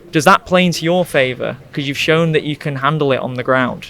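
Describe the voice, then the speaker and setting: A man with a fairly high voice and ordinary pitch variation. Noticeable background noise runs under the clip. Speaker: MMA interviewer. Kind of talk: post-fight interview. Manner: speaking quietly.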